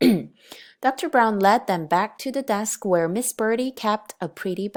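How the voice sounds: A natural reading voice is heard throughout.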